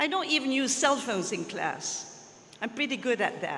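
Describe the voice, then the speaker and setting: Someone speaks at a fairly slow pace with a Dutch accent. Noticeable background noise sits behind the voice. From Belgium (Flemish). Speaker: retiring language teacher. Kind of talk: farewell speech at school assembly.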